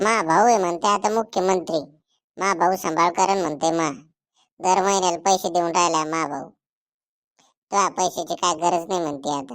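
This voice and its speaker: A woman performs a cartoonish character voice at a fairly low pitch. Her pace is moderate and her pitch variation is ordinary. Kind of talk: rural Marathi cartoon comedy.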